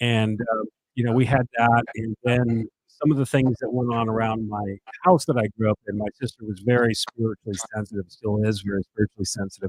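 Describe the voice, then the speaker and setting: A medium-pitched man with an American accent, in a dry, close sound with no echo. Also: fairly even intonation. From Connecticut, New Milford. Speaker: podcast host. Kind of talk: casual interview chat.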